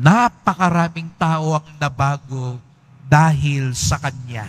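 A man speaks at a fairly high pitch with ordinary pitch variation. His voice is somewhat breathy. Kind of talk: sermon; liturgical prayer. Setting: church.

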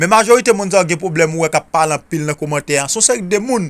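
With music in the background, a man speaks at a fairly high pitch using lively intonation. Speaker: spiritual remedy video creator. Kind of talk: tutorial.

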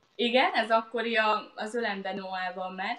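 A woman speaks with fairly even intonation amid audible room echo. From Hungary. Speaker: lawyer and author, mother; interview guest. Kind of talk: live online interview. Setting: live Facebook video stream. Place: home room. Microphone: webcam.

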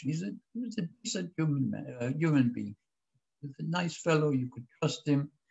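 This man's pitch is fairly high. His voice is somewhat breathy. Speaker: historian and former government spokesman. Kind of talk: lecture.

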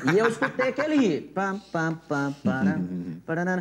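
A man's voice at a high pitch. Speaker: talk show host. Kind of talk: casual chat. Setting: studio. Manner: animated.

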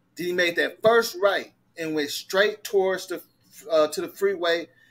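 Music plays in the background. A man speaks at high pitch and a fairly slow pace. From Detroit, Michigan. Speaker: livestream host. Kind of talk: casual livestream discussion. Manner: animated.

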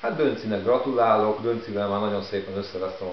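A man with a fairly low pitch speaks at a very fast pace. Light background noise and audible room echo come through. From Hungary. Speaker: vlogger. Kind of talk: casual vlog monologue. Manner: hesitant, with filler words. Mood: mildly irritated, ironic. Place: home room. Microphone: camera far.

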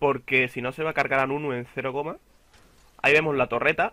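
Speaking at a moderate pace, a man with a Castilian accent has a fairly high pitch and a bright, sharp tone. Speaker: gaming youtuber. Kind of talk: gameplay commentary. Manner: casual, halting.

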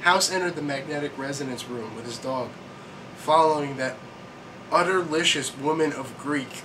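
A man's fairly even intonation and moderate pace are heard through noticeable background noise. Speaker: vlogger. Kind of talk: comedic reading and commentary. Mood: sarcastic, deadpan. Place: home room. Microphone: webcam.

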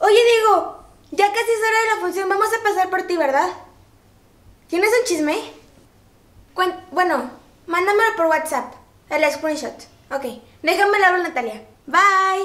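A woman's extremely high voice with lively intonation, a fairly slow pace, long, frequent pauses and audible room echo. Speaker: sketch actor. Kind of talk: acted phone call. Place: home room.

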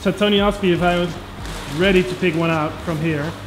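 A man at a moderate pace, over loud background noise. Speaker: koi channel vlogger. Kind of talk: casual vlog chat. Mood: excited, admiring. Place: shop. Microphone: phone near.

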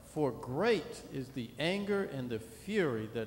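A man's somewhat breathy, fairly high voice with lively intonation over light background noise. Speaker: minister. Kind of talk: reading scripture aloud in church; sermon, reading scripture. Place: church. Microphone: podium.

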